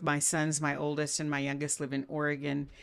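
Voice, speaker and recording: On a very clean recording with a silent background, a woman with a South Texas accent speaks at a moderate pace in a very deep, low voice. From Brownsville, Texas. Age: 60s. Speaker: podcast host, doctor. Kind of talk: interview conversation.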